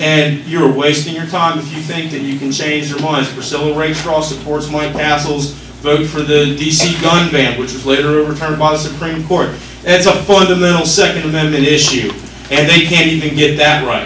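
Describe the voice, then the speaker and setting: Amid noticeable background noise and audible room echo, the speaker talks at a moderate pace with monotone, flat intonation. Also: man, fairly high pitch for a man. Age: 20s. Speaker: congressional candidate. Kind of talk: campaign speech at town hall Q&A. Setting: meeting room with audience.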